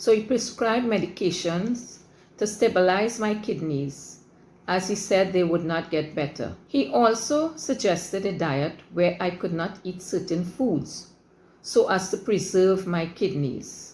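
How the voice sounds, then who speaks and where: Somewhat breathy, a woman speaks at a fairly slow pace with a medium pitch and lively intonation. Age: 70s. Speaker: patient giving a testimonial. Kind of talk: testimony. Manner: formal.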